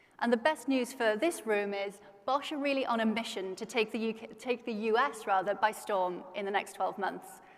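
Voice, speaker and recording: A woman with a British accent, ordinary pitch variation and hardly any pauses. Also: fairly high pitch for a woman, moderate pace. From Britain. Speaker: conference host. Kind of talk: stage interview. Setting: stage with audience.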